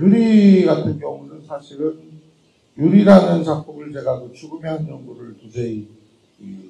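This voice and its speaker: Fairly high for a man, his pitch swings very widely as he speaks at a moderate pace. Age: 50s. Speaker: film director. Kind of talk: post-screening Q&A talk.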